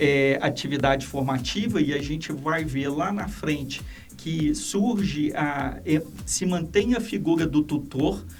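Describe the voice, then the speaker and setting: With music in the background and audible room echo, a man speaks very slowly in a fairly high pitch with lively intonation. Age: 60s. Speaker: education institution president. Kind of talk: podcast interview. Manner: halting.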